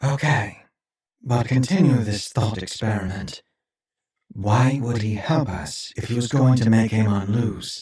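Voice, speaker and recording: Using a put-on character voice, a man speaks at a medium pitch and a fairly slow pace. A slight echo surrounds the sound. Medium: audio drama. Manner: anxious, impatient.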